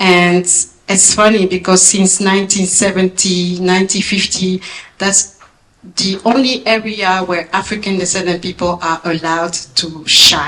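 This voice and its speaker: With a strong French accent, a woman speaks at a fairly slow pace and medium pitch. Her intonation is fairly even, and background noise is noticeable. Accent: big French. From France. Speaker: former Olympic athlete, speaker. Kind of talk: speech. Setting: gala event with audience.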